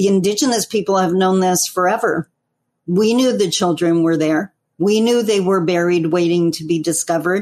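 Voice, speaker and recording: A woman uses a normal speaking voice at a medium pitch, with ordinary pitch variation and a moderate pace. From Northern Ontario, Canada. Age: 50s. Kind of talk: interview.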